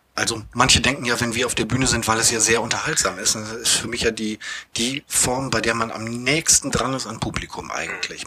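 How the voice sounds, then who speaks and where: Noticeable background noise behind a man at medium pitch, with fairly even intonation and a fairly quick pace. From Bremerhaven, northern Germany. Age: 40s. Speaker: theatre manager and improv actor. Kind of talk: casual interview. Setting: theatre venue.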